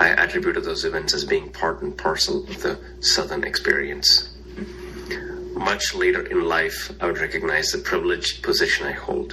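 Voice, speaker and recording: A man talks at a moderate speed with noticeable background noise behind him. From India. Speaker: congregation board member. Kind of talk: recorded personal message. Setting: recorded message.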